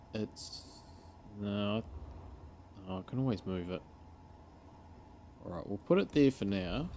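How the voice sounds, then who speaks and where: Mumbling at a fairly slow pace, a man uses a dark, mellow tone and a fairly low pitch. His pitch variation is ordinary, with long, frequent pauses. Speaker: gaming video creator. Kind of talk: gameplay commentary. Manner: casual thinking aloud.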